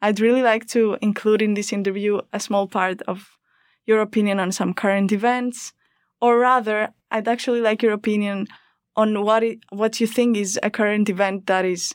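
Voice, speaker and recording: In a very clean recording with a silent background, a woman with a Greek accent speaks at medium pitch with monotone, flat intonation. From Greece. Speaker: student podcast host. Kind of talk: interview. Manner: hesitant, repeats words.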